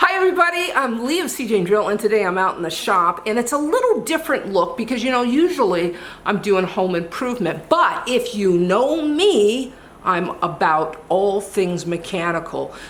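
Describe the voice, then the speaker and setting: A woman's fairly high voice with very wide pitch swings at a moderate pace, plus audible room echo and noticeable background noise. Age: 60s. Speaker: DIY and auto repair video host. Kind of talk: tutorial. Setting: workshop.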